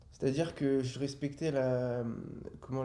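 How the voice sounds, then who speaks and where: Amid audible room echo, a man speaks in a dark, mellow tone with monotone, flat intonation. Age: 20s. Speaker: trader. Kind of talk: podcast interview, personal testimony. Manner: halting, many filler hesitations.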